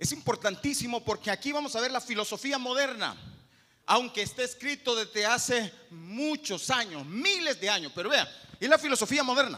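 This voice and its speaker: Extremely high-pitched man's voice, raised and projected, with lively intonation at a moderate pace. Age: 50s. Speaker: pastor. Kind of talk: sermon.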